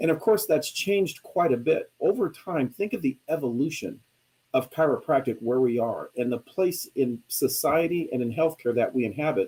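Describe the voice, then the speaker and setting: The voice has a dark, mellow tone and lively intonation. It moves at a moderate pace. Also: man, fairly high pitch for a man. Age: 60s. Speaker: chiropractor and billing and coding expert. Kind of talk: webinar presentation. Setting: live online broadcast.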